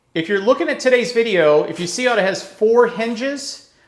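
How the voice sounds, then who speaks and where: Mumbling at a moderate pace, a man speaks with lively intonation. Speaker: real estate broker. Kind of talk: home tour walkthrough. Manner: mumbles; casual.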